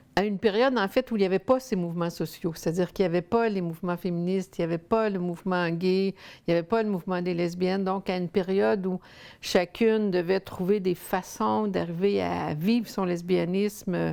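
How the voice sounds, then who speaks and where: A dark, mellow tone moves at a fairly quick pace with hardly any pauses and ordinary pitch variation. The recording is very clean, with a silent background. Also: woman, medium pitch for a woman. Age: 60s. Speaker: sociologist and researcher. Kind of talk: interview testimony. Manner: halting, many fillers.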